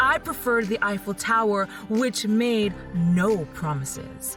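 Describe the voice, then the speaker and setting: A woman's very slow speech with music in the background. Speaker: podcast storyteller / reader. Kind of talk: spoken-word reading of quotes as a speech.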